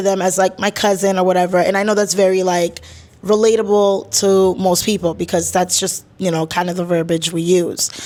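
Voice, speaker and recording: Delivered at a fairly quick pace, the speech has monotone, flat intonation. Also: woman. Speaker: podcast host. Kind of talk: casual monologue.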